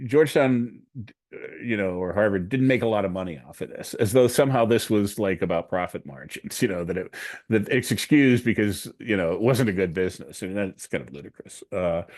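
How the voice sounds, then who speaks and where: Over a quiet background, a man speaks fairly quickly in a fairly low pitch, his loudness swinging widely. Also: lively intonation. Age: 60s. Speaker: program director and researcher. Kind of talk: Q&A after a presentation. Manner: hesitant, many fillers.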